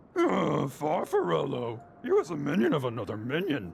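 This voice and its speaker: Using a put-on character voice, a man sounds raspy at a fairly high pitch and moderate pace, with clear background noise. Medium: game stream. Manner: growling, hungry.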